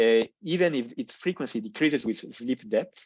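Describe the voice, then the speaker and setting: A man talks with lively intonation. The sound is dry and close with no echo, and the background is quiet. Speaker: neurologist and PhD researcher. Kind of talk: lecture. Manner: fast.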